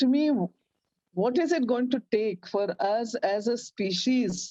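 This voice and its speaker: The sound is dry and close, with no echo. A woman speaks in a fairly high pitch with a dark, mellow tone and ordinary pitch variation. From India. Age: 60s. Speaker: activist. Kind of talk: interview. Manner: halting.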